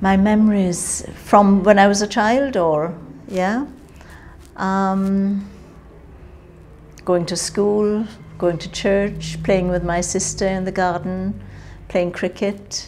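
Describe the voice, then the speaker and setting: Speaking at a medium pitch with fairly even intonation, a woman goes at a very slow pace with long, frequent pauses. Audible room echo and noticeable background noise are present. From Jamaica. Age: 60s. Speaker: interviewee, Windrush-generation migrant. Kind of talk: oral history interview.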